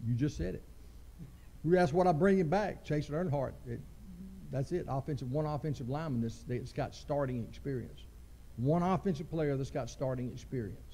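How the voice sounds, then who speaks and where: A somewhat breathy, dark, mellow man's voice with a Southern US accent, fairly high-pitched with ordinary pitch variation, at a fairly quick pace, in audible room echo. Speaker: high school football coach. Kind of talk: press conference interview.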